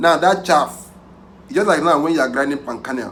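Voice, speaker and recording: A man's animated tone with audible room echo. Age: young. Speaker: pig farmer. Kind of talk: tutorial. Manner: halting.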